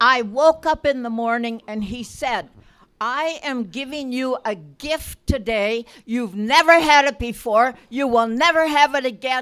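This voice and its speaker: A woman speaks at a fairly slow pace in a high pitch, with an animated tone and ordinary pitch variation. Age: 80s+. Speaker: church member. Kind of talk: testimony.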